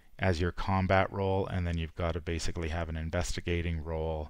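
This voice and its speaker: A man with a Canadian accent speaks in a very deep, low pitch at a moderate pace, his intonation monotone and flat. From Canada. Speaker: game streamer. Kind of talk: live stream commentary. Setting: live stream. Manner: halting, many fillers.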